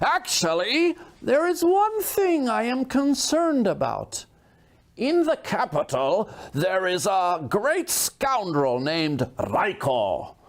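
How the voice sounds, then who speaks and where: Putting on a character voice, a man pushes his pitch extremely high. His words come at a fairly slow pace. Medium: read story. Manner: commanding.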